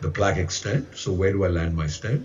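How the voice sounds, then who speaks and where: Noticeable background noise and audible room echo surround the voice. A man speaks at a fairly quick pace. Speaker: interventional cardiologist. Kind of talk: conference talk. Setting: remote video presentation to conference hall.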